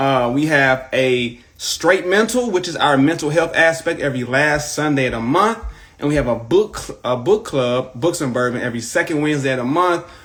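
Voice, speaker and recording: With a St. Louis accent, a man talks at a moderate pace in a fairly high pitch, his animated tone and lively intonation running on with hardly any pauses. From US Midwest, St. Louis. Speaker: podcast host. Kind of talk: casual interview on Instagram live. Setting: video livestream.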